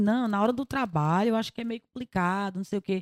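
The pitch of a woman's voice varies in a typical way. The recording sounds dry and close, without any echo. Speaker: singer. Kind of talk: casual chat.

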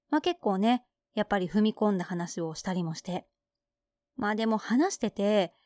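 A woman's dark, mellow tone, fairly high in pitch, in a very clean recording with a silent background. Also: dry, close sound with no echo. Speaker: radio podcast host. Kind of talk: casual chat. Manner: laughing.

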